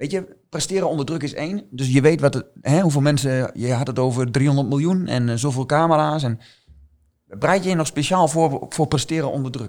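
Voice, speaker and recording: A man talks in a plain, everyday voice at a fairly high pitch with ordinary pitch variation. His pace is moderate, and the recording is very clean with a silent background. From eastern Netherlands, Twente (Oldenzaal). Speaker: team coach. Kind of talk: podcast interview.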